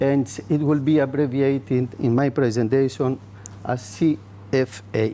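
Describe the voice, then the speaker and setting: A man with a Greek accent, medium in pitch, fairly slow, with very even loudness and ordinary pitch variation. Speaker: soil scientist. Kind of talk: conference presentation. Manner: halting, many fillers.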